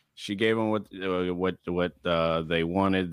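A man's very deep, low voice with ordinary pitch variation, in a very clean recording with a silent background and a dry, close sound with no echo. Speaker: podcast guest; lawyer and content creator.

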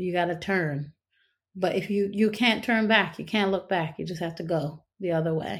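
In a very clean recording with a silent background, a woman speaks with a North Carolina accent. Her medium-pitched voice has ordinary pitch variation at a moderate pace. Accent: Southern US (North Carolina). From US South, North Carolina. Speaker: stage actress and singer. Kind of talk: interview conversation.

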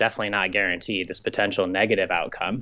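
An ordinary speaking voice from a man with an American accent, fairly low in pitch and at a fairly quick pace. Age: 30s. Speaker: professional triathlete. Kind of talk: interview.

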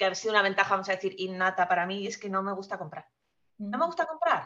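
A woman's bright, sharp tone at a medium pitch. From Spain. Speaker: guest sharing personal finance story. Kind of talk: casual interview.

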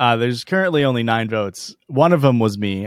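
The intonation is lively, carried by an unremarkable speaking voice at a moderate pace. Behind it, the background is silent in a very clean recording. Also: man. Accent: American. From rural US. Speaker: comedy podcast co-host. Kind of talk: casual chat.

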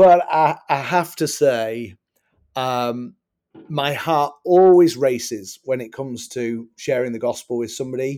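Speaking fairly slowly with an English accent, a man has a medium pitch, ordinary pitch variation and a dark, mellow tone. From England. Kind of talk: interview. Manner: halting.

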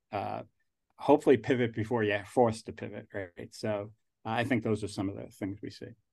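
A man with a fairly low pitch talks at a fairly quick pace against a quiet background. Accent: New York. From New Jersey / New York, US Northeast. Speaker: angel investor and alumnus. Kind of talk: casual interview conversation. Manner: rambling, halting, laughs often.

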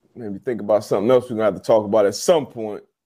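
A man's dark, mellow tone with lively intonation, in a very clean recording with a silent background. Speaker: podcast host and sports analyst. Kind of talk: casual sports talk podcast. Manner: animated, enthusiastic.

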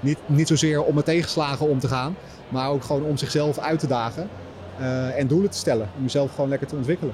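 A man's fairly high voice at a very fast pace, with ordinary pitch variation and noticeable background noise. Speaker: fitness influencer and author. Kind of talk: interview before live audience. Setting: live event with audience.

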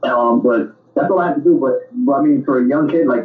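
A man with a New York accent talks at a very fast pace with ordinary pitch variation. Noticeable background noise sits behind him. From New York, the Bronx. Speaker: actor and musician. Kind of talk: interview.

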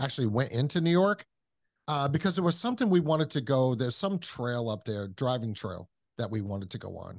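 Lively intonation carries the voice against a quiet background. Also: man. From New England. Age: 50s. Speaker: podcast host. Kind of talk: casual chat.

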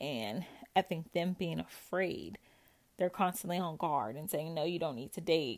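Vocal fry runs through this woman's speech. The recording is very clean, and the background is silent. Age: 30s. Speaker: podcast host sharing recovery from narcissistic abuse. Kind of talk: personal monologue, supportive self-help talk. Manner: casual, conversational with frequent laughs.

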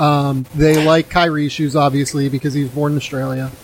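With noticeable background noise behind him, a man speaks at a moderate pace in a fairly high pitch with monotone, flat intonation. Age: 30s. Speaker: basketball podcast host. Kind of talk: casual chat.

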